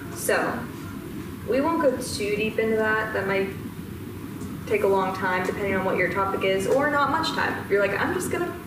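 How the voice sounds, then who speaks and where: A woman speaks at a moderate pace. There is audible room echo and noticeable background noise. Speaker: presenter. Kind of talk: lecture. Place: classroom. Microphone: camera far.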